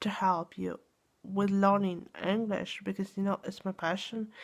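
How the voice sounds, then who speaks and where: With a medium pitch, a woman talks in monotone, flat intonation. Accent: Russian. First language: Russian. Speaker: English teacher. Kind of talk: casual monologue to viewers. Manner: halting, many fillers and restarts.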